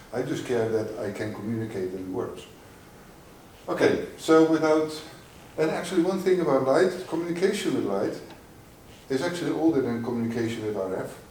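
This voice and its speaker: Pausing long and often, a man with a medium-pitched voice talks at a moderate pace with very wide pitch swings, with audible room echo. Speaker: industry researcher. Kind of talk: conference talk. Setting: conference stage with audience. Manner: loud; halting.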